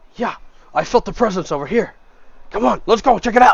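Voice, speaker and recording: Putting on a character voice, a man speaks in a raised, projected, gruff voice at a high pitch and fairly quick pace. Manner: aggressive.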